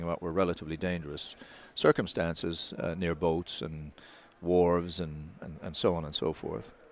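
Man with a Newfoundland accent, very deep and low in pitch, fairly even intonation, moderate pace. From Newfoundland, Canada. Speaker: wildlife conservation expert. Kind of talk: interview. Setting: trade show.

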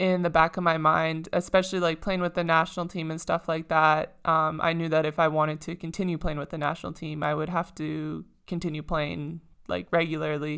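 In a very clean recording with a silent background, a woman with a slight Canadian accent speaks at a moderate pace in a fairly low pitch and a bright, sharp tone. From Saskatchewan, Canada. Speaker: professional basketball player. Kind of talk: casual interview.

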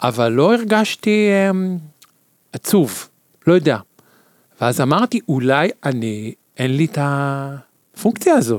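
A man with a fairly high pitch talks very slowly with long, frequent pauses and very wide pitch swings, in a dry, close sound with no echo. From Israel, Tel Aviv. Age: 50s. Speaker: podcast guest. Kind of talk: casual chat.

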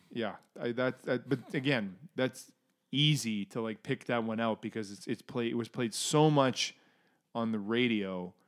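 Using an ordinary speaking voice with a Canadian accent, a man speaks at a fairly slow pace and a medium pitch with ordinary pitch variation, on a very clean recording with a silent background. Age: 30s. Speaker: podcast co-host. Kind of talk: casual chat.

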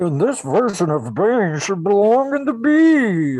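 This put-on character voice sits fairly high, moves at a fairly slow pace, and swings very widely in pitch. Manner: menacing.

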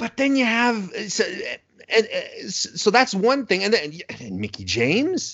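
The loudness of a man's voice swings widely as he talks at a moderate pace. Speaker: wrestling podcaster guest. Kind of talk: casual chat. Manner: joking, halting.

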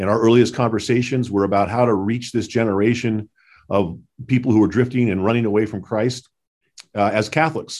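A man with an American accent and a normal speaking voice, medium in pitch, at a fairly quick pace against a quiet background. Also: fairly even intonation. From Southern California. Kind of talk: interview.

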